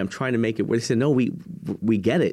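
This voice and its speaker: Recorded very cleanly over a silent background, a man with an American accent and a plain, everyday voice talks at a medium pitch with ordinary pitch variation. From Texas, San Antonio. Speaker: motivational speaker, nonprofit leader. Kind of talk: interview.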